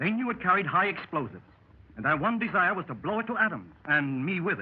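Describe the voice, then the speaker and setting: Over noticeable background noise, a man speaks at a very fast pace in a high voice. His intonation is lively. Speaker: radio actor in a 1930s radio anthology. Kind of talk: old-time radio drama, club member telling his adventure as a first-person story. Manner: storytelling, conversational.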